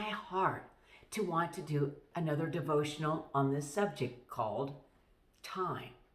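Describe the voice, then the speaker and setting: A woman speaks at a very slow pace with a very deep, low pitch for a woman. Noticeable background noise and audible room echo fill the recording. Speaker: pastor. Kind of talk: devotional talk.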